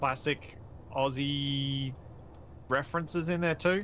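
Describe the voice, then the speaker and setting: A man's fairly high, bright and sharp voice with a Sydney accent. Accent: mild Sydney Australian. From Sydney, Australia. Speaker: video game streamer. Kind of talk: casual chat during live gaming stream.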